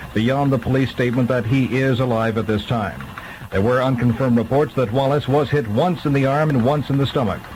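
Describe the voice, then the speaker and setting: Noticeable background noise sits under fairly quick speech with ordinary pitch variation. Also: man. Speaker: radio newsreader. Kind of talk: radio news bulletin.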